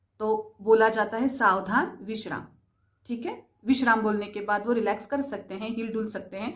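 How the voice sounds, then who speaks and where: This woman has a Marathi accent. Her fairly high voice keeps a fairly even intonation. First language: Marathi (speaking Hindi). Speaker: spiritual/vastu content creator. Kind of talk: explanatory talk to camera.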